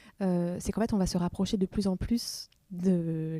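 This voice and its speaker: A woman's medium-pitched voice, dark and mellow, in a flat monotone at a fairly slow pace, on a very clean recording with a silent background. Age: 30s. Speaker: filmmaker and photographer. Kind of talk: interview. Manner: hesitant, many fillers.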